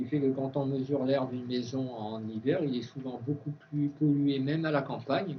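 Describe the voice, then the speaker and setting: At a fairly slow pace, a man speaks in a somewhat breathy voice with fairly even intonation. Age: 60s. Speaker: organic food expert and speaker. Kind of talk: conference talk with Q&A. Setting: university conference with students. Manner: hesitant, many fillers and restarts.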